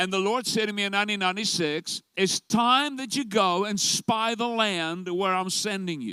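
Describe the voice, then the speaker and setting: A man speaks at a moderate pace in a raised, projected voice, pitched high. His tone is bright and sharp, with ordinary pitch variation. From South Africa. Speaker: pastor. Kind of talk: sermon.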